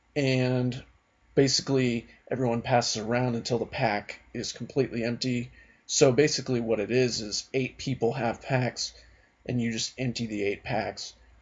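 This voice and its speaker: A man speaks quietly at a moderate pace. His medium-pitched voice stays monotone and flat. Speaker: card game youtuber. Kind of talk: casual video blog. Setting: at home at night. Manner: quiet, subdued.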